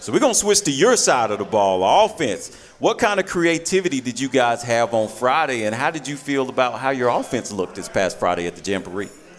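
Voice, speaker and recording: Over music in the background, a man talks at a fairly quick pace with hardly any pauses and very wide pitch swings. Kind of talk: high-energy sports radio host patter, hyping the crowd and bantering with coaches.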